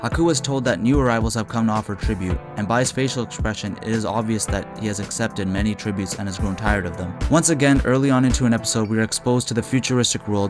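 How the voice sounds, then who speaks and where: With music in the background, a man talks very fast. His medium pitch shows ordinary pitch variation. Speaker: video reviewer. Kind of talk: scripted narration.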